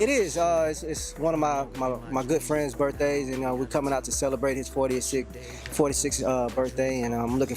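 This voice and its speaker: Music in the background behind a man with an American accent, at a moderate pace. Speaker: spoken word poet; army veteran. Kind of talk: interview answer. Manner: casual, friendly.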